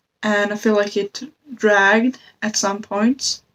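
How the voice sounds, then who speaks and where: A woman with a non-native accent, medium pitch, monotone, flat intonation and a very slow pace. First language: not English. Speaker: book reviewer. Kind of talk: casual book review vlog. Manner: halting, with self-corrections.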